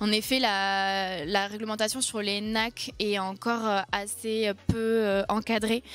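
A woman speaks at a medium pitch. Her intonation stays fairly even.

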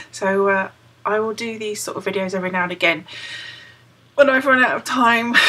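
A woman with a British accent speaks at a moderate pace, her fairly high pitch carried by lively intonation. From United Kingdom. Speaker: crochet vlogger. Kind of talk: casual talk to camera. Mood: cheerful, chatty. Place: home room. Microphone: webcam.

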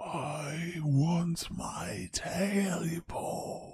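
A put-on character voice at middle pitch, croaky, raspy, hoarse and growling. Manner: growling, menacing.

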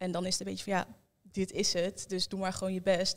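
A woman at medium pitch and a fairly quick pace, against a quiet background. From Netherlands, Almelo (Twente); Netherlands. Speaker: young guest sharing experience; interview guest. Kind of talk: group conversation. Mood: reflective, calm. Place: studio. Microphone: handheld.

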